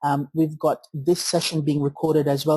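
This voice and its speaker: A man's fairly high voice with a dark, mellow tone at a fairly quick pace, dry and close with no echo. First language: not English. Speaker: partnership coordinator presenting a tech webinar. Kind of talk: webinar tutorial. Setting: online webinar with web camera. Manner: halting, many fillers.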